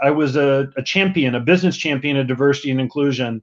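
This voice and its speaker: Very fast speech from a man with a strong Southern US accent and a fairly high pitch against a quiet background. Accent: strong American Southern. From US South (Mississippi). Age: 50s. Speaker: diversity and inclusion executive. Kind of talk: podcast interview.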